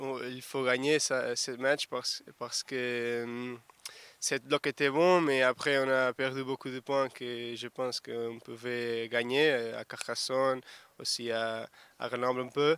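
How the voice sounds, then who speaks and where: At a very slow pace, a man speaks at medium pitch in a monotone, flat intonation, with a dry, close sound and no echo. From Portugal. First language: Portuguese (speaking French). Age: 20s. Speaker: rugby winger. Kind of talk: sports interview. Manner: halting.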